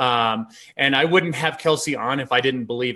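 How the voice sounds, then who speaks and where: A man speaks loudly at a moderate pace in a bright, sharp tone at medium pitch. His pitch varies normally over a quiet background. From outside the US. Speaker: online business host. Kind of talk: casual chat.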